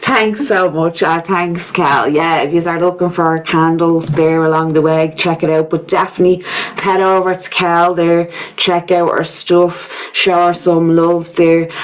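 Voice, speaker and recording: With a Dublin accent, a woman speaks at a fairly slow pace and a fairly low pitch in a monotone, flat intonation, with noticeable background noise behind her. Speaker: podcast host. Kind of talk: casual chat.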